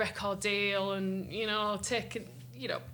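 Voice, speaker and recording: Here a woman talks at a medium pitch with a bright, sharp tone. Audible room echo can be heard around her. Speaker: singer-songwriter. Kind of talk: interview. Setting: music festival.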